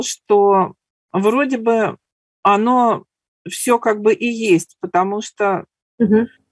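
A woman with a fairly high pitch and ordinary pitch variation is heard in a dry, close sound with no echo. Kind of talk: sharing in group discussion. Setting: online webinar.

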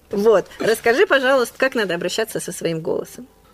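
Her fairly high pitch and lively intonation mark this woman's fairly quick delivery. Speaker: podcast host. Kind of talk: casual chat. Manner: fast.

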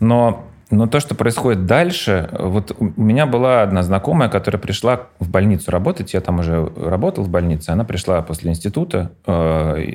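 Here a man with a very deep, low pitch talks at a moderate pace with ordinary pitch variation. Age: 40s. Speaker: pediatrician. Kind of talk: casual chat.

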